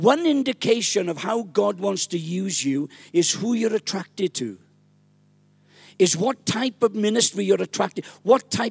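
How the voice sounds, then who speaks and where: With a Welsh accent, a man speaks at a fairly slow pace in a high pitch, his intonation lively. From Wales, small village. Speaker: pastor. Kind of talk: sermon. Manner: animated. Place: church. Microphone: handheld.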